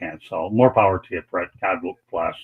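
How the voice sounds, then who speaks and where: This man talks at a fairly quick pace. His pitch sits fairly low. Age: 60s. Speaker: sports radio host. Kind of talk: live stream panel discussion. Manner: halting, repeats words.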